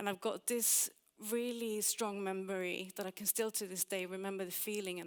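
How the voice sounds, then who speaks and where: A woman of medium pitch speaks at a moderate pace with a slight Swedish accent. Her intonation is monotone and flat. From Sweden. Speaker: UX designer and conference speaker. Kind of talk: conference talk.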